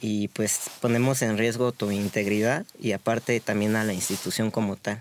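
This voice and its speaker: A man with an unremarkable speaking voice talks at a moderate pace in a fairly low pitch. His intonation stays fairly even, and the sound is dry and close with no echo. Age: 30s. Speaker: street vendor. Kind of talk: interview.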